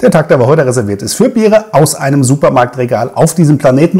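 A man speaks very fast in a dark, mellow, somewhat breathy voice. His pitch swings very widely against a quiet background. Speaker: beer reviewer. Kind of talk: casual vlog chat. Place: home room.

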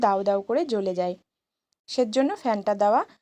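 Lively intonation runs through the speech. The voice has a dark, mellow tone. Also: woman. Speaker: clay craft artisan and vlogger. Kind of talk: tutorial vlog narration.

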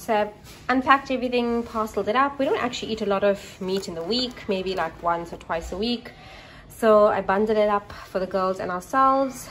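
A woman talks at a fairly quick pace with ordinary pitch variation. Light background noise is present. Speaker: home vlogger. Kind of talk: casual vlog chat. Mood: upbeat, excited. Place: kitchen. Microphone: phone near.

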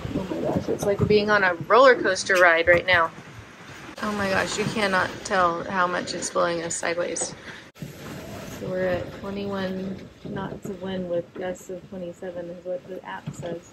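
There is noticeable background noise as a woman talks at a fairly slow pace. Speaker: boat owner vlogger. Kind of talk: casual vlog chat. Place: boat. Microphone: phone near.

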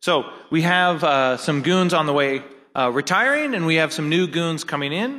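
A man's fairly high voice, bright and sharp in tone, at very even loudness. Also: ordinary pitch variation, moderate pace. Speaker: hacker conference founder and organizer; event host. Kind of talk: closing ceremony speech. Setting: stage with audience. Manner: casual, filler-heavy. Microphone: podium.

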